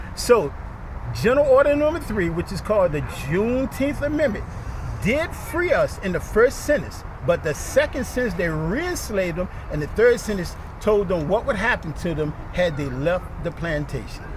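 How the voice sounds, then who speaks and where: With noticeable background noise, a man speaks at a high pitch and a moderate pace, his pitch swinging very widely. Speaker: historian and professor giving a public talk. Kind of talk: public presentation.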